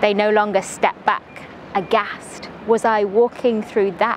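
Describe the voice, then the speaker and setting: A woman speaks at a fairly slow pace and medium pitch. Noticeable background noise runs underneath. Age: young. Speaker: poet. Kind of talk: spoken word poetry.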